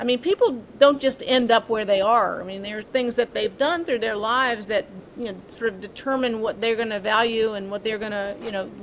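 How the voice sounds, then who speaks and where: Noticeable background noise sits behind a woman's fairly high voice. She talks at a moderate pace with ordinary pitch variation. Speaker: former FBI agent and former mayor. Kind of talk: casual interview chat.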